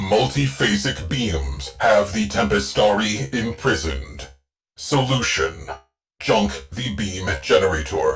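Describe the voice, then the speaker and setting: Using a put-on character voice, a man speaks at a fairly slow pace in a very deep, low pitch, with faint music in the background. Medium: game stream. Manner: clipped, list-like phrasing.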